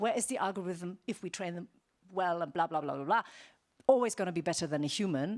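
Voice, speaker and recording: A woman speaks in a German accent with lively intonation. The recording is very clean with a silent background. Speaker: ethics keynote speaker. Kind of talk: conference keynote. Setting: stage with audience. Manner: conversational with fillers.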